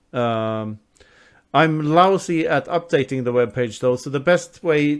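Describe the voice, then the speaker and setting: A man with a Swedish accent speaks at a fairly high pitch. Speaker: author. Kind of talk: interview.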